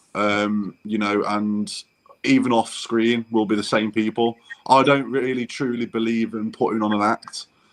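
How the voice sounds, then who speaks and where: A man with a Derby accent, medium in pitch, at a fairly slow pace with flat, monotone intonation. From English Midlands, Burton upon Trent (Derbyshire area). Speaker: travel vlogger. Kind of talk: casual interview chat.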